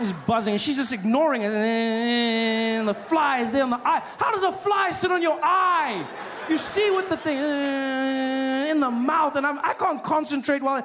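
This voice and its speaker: Against noticeable background noise, a man speaks at an extremely high pitch and fairly slow pace, with lively intonation and hardly any pauses. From South Africa. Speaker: stand-up comedian. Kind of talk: stand-up comedy set.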